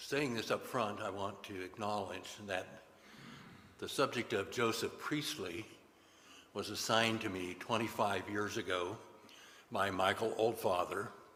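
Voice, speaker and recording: A man's fairly low voice, bright and sharp in tone, at a fairly slow pace with long, frequent pauses, fairly even intonation and audible room echo. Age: 80s+. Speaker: congregation member giving a talk. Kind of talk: sermon.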